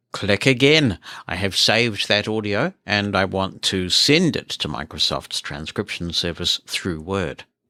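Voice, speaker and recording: With a New Zealand accent, a man's fairly low voice has a bright, sharp tone and lively intonation at a fairly slow pace, in a dry, close sound with no echo on a very clean recording with a silent background. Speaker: podcast host. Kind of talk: tech demo.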